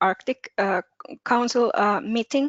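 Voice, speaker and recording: Here a woman speaks in a Finnish accent. Her pitch variation is ordinary. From Finland. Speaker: participant, international relations student. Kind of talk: question in Q&A.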